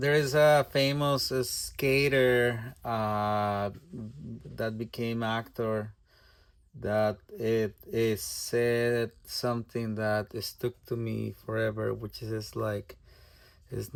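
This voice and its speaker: The speaker has a Spanish accent and a very slow pace. Intonation stays fairly even. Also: man. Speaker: artist. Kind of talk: tutorial. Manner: halting.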